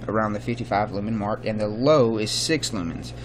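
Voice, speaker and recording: Background noise is noticeable throughout. A man talks with a fairly low pitch. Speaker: flashlight reviewer, works as EMT. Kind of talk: product review. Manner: casual with many fillers.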